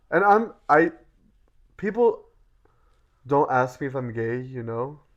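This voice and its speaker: Lively in intonation, a man at a fairly high pitch speaks at a moderate pace. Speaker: podcast co-host. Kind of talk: casual chat. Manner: casual, filler-heavy.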